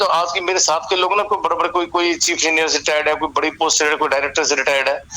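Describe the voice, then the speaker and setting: A man speaks in a high pitch with fairly even intonation and very even loudness, taking hardly any pauses. Noticeable background noise is present. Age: 60s. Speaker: retired bank manager. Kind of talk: interview. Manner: halting.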